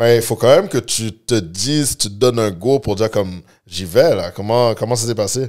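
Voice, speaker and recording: Backed by a quiet background, a man talks at a moderate pace. His pitch variation is ordinary. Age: 30s. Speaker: podcast host. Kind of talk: casual interview; interview questions. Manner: halting, many fillers. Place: studio. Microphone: studio mic.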